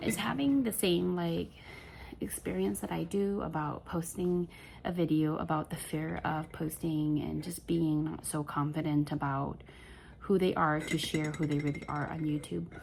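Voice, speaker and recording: A quiet woman's voice, very deep and low, moves at a fairly slow pace with ordinary pitch variation. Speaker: crochet vlogger. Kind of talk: casual vlog monologue. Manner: rambling, halting with many fillers; quiet, holding back volume.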